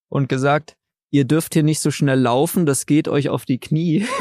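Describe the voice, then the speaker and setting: The recording is very clean, with a silent background and a dry, close sound with no echo. A man speaks at a moderate pace with ordinary pitch variation. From Saxony, Dresden. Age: 20s. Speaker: trail runner. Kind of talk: casual interview. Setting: outdoors by a lake.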